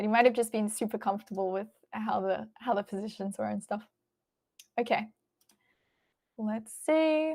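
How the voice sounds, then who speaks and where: A woman's fairly high voice in an Australian accent, with ordinary pitch variation and long, frequent pauses. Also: moderate pace. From Australia, Melbourne. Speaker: chess stream commentator. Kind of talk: live stream chat.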